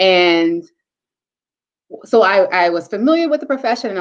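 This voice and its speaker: A woman with an American accent, medium pitch, very wide pitch swings and an animated tone. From North Carolina, Charlotte. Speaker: teacher and scientist. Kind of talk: interview.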